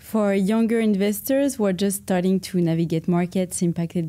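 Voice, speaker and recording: In a very clean recording with a silent background, a woman speaks at a fairly low pitch and moderate pace, her tone dark and mellow, with ordinary pitch variation. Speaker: interviewer. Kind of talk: interview.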